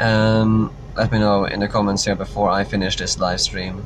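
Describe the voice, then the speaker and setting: With noticeable background noise behind him, a man speaks in a non-native accent, his fairly low pitch held in a monotone, flat intonation. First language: not English. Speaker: political vlogger. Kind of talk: live stream Q&A. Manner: halting, many fillers.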